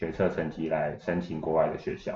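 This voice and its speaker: A man's very deep, low voice. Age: 20s. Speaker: university student. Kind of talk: interview.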